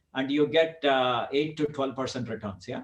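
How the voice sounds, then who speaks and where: A man speaks in a somewhat breathy voice. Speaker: real estate investor presenter. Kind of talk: webinar presentation. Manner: fast; halting, many fillers.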